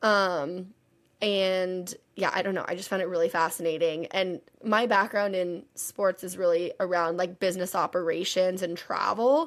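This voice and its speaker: A woman with an American accent has a plain, everyday voice. She speaks at a moderate pace with fairly even intonation. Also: medium pitch for a woman. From Texas. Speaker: podcast co-host, auditor. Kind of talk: casual chat. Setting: remote recording from parents' house.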